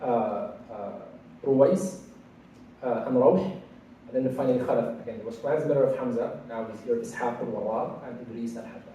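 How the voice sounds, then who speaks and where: Background noise is noticeable, and room echo can be heard. Through it, a man speaks at a moderate speed. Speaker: Quran studies teacher. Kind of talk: lecture. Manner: halting.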